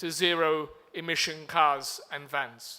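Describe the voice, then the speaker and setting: A man talks with a British accent. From UK. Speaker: diplomat. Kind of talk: conference speech. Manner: formal.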